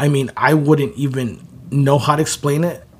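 Somewhat breathy, a man speaks at a fairly high pitch and a moderate pace. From southeast side of Chicago. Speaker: clothing brand founder. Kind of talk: casual interview conversation.

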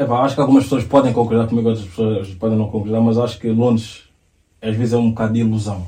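Over audible room echo, a man talks at a very fast pace in a somewhat breathy, dark, mellow voice at medium pitch with monotone, flat intonation. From Portugal, Lisbon south bank. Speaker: fashion coach and model. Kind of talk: casual chat.

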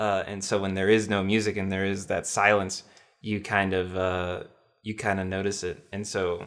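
Captured in a very clean recording with a silent background, a man speaks at a fairly low pitch in a bright, sharp tone with monotone, flat intonation. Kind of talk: casual conversation.

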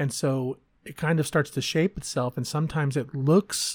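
With an American accent and a somewhat breathy voice, a man speaks at a moderate pace with ordinary pitch variation, the recording very clean with a silent background and the sound dry and close with no echo. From Texas. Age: 40s. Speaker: podcaster. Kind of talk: personal monologue.

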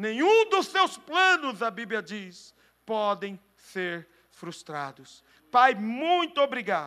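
A man's high-pitched, bright, sharp voice, raised and projected, at a very slow pace with very wide pitch swings and big swings in loudness, on a very clean recording with a silent background. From Brazil. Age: 40s. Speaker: pastor. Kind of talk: sermon.

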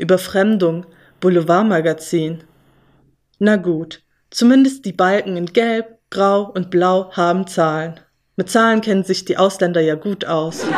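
In an ordinary speaking voice, a woman talks at a fairly slow pace with medium pitch and ordinary pitch variation. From Germany. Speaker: spoken-word essayist. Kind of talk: spoken-word monologue. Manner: ironic, sarcastic delivery.

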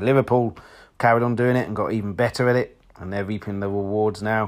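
A man with an English accent speaks at a fairly quick pace in a fairly low voice, his intonation fairly even, on a very clean recording with a silent background. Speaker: football fan podcaster. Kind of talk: solo football commentary vlog. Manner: monotone.

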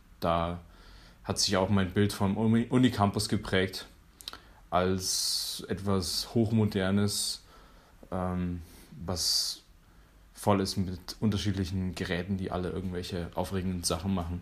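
A man's very deep, low voice, very slow and monotone with flat intonation and long, frequent pauses. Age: 20s. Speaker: university student. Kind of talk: personal account.

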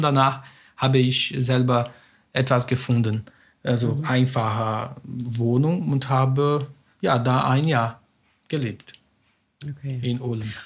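A man speaks at a very slow pace in a Portuguese accent, his voice somewhat breathy. The recording is very clean, with a silent background. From Brazil. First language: Portuguese (speaking German). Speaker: academic, immigrant. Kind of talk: interview.

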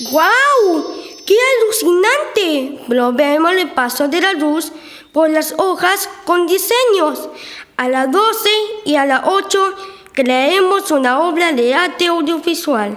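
An extremely high-pitched voice speaks at a fairly slow pace. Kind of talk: school radio drama. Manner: cheerful, eager.

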